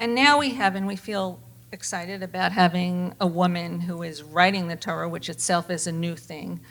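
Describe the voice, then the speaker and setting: At a moderate pace, a woman with an unremarkable speaking voice talks in a fairly low pitch with ordinary pitch variation. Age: 60s. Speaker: panel moderator. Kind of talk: moderated panel discussion.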